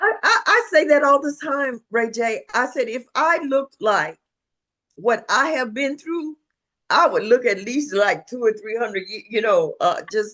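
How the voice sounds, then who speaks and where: A woman's high, bright, sharp voice with lively intonation at a fairly slow pace. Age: 70s. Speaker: life and happiness coach. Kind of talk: interview. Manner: halting.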